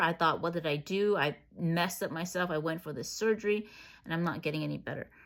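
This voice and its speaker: In a normal speaking voice, a woman talks at a fairly quick pace with a fairly low pitch and ordinary pitch variation. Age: 30s. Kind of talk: personal health story vlog.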